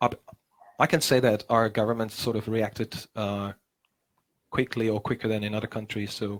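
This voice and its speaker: With a Czech accent, a man with a fairly low pitch talks at a moderate pace in a flat monotone, with long, frequent pauses. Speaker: musician and teacher. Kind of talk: casual chat. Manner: halting.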